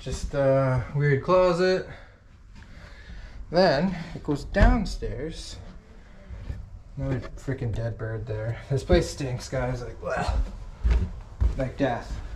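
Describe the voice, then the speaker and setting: Noticeable background noise sits behind a man speaking at a very slow pace. His loudness swings widely, and he takes long, frequent pauses. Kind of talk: casual vlog chat. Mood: amused, enthusiastic. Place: home room. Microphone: phone near.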